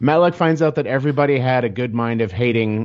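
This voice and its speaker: A man with a plain, everyday voice and an American accent. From US Midwest, Kansas City, Missouri. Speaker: storyboard and comic artist. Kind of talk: casual chat.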